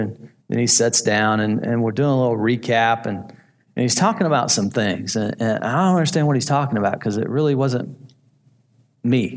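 A man at medium pitch and a moderate pace, with ordinary pitch variation. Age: 50s. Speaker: department store manager sharing faith story at men's group. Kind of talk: testimony. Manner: halting.

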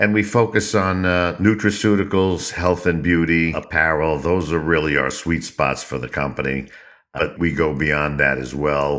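A man's very deep, low voice with vocal fry and an American accent, at a moderate pace with ordinary pitch variation. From US Northeast, New York. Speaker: company CEO. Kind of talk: interview.

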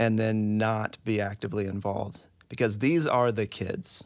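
A man with an unremarkable speaking voice talks fairly slowly at a fairly low pitch. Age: 30s. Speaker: adoptive and foster parent. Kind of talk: casual interview conversation.

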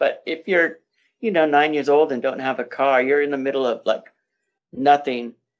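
Pitched fairly high, a man with an unremarkable speaking voice speaks with ordinary pitch variation. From Inland Empire, Southern California. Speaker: library event co-founder. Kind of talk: casual interview.

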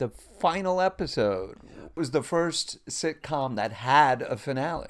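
A man with a slight Long Island accent speaks at a fairly high pitch with lively intonation, recorded very cleanly against a silent background. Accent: slight Long Island New York. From Long Island, New York. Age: 50s. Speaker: actor and former clown. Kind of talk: casual chat.

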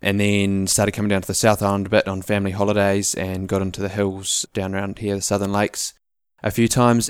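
Over a silent background in a very clean recording, the speaker talks at a fairly quick pace with monotone, flat intonation in a New Zealand accent. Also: man. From New Zealand, Auckland. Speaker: ecology student, hunter and entrepreneur. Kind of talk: casual interview.

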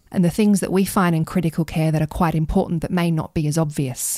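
On a very clean recording with a silent background, a woman with an Australian accent talks at a very fast pace, her fairly low, dark, mellow voice showing ordinary pitch variation. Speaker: pediatric intensive care doctor. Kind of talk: podcast interview.

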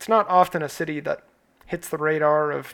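In an American accent, a man speaks with fairly high pitch and fairly even intonation. The recording is very clean, with a silent background. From United States. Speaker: podcast host. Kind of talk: scripted narration.

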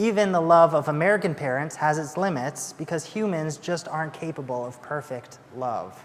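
This man has a normal speaking voice, pitched fairly high, with ordinary pitch variation. He talks at a moderate pace. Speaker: assistant pastor. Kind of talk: sermon. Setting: church.

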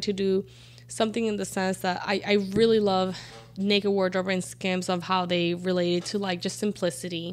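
At a fairly quick pace, a woman speaks with a medium pitch and monotone, flat intonation. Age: 30s. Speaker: podcast guest. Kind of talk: casual chat.

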